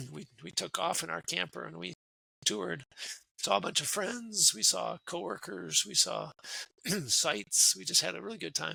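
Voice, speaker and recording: A man with an Upper Midwest accent speaks at a moderate pace with big swings in loudness, in a dry, close sound with no echo. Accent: Upper Midwest American. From US Midwest (Wisconsin). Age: 60s. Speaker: retired military officer and career coach. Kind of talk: casual interview.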